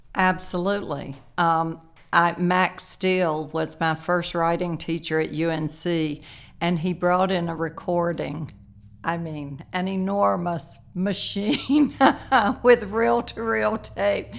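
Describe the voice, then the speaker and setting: A woman's fairly low voice in a Southern accent, lively in intonation, at a very slow pace, on a very clean recording with a silent background. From North Carolina, Lumberton. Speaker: novelist. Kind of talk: interview.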